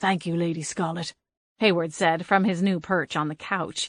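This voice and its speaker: A female-sounding, middle-pitched put-on character voice growls at a moderate pace. The background is quiet. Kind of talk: formal old-fashioned diction. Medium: read story. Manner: pompous, prim.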